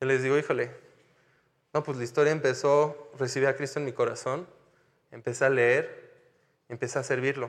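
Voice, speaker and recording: A man with a fairly high pitch talks at a moderate pace in a flat, monotone delivery broken by long, frequent pauses. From France (Paris). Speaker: missionary pastor. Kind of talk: sermon.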